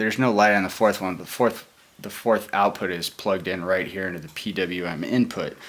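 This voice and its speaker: Quietly, a man speaks at a fairly quick pace in a fairly low pitch, his intonation fairly even but his loudness swinging widely. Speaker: hobbyist hardware builder. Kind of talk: tutorial. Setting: at home. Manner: speaking quietly; hesitant, many fillers.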